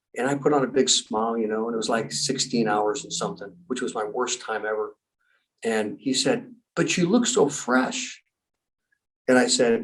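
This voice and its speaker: A man at medium pitch speaks in an animated tone. His pace is moderate and his pitch variation ordinary. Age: 60s. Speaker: endurance athlete and special forces trainer. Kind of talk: podcast interview. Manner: animated storytelling.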